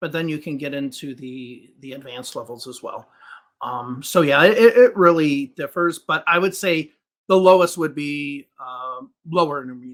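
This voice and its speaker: A man's fairly high voice in a Chicago accent, at a moderate pace, with ordinary pitch variation and big swings in loudness. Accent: Chicago American English. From US Midwest, Chicago. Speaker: English teacher. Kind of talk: podcast interview.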